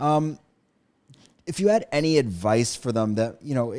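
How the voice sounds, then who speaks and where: A man talks in a normal speaking voice at a moderate pace. His intonation is lively. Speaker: podcast interviewer. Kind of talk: interview question.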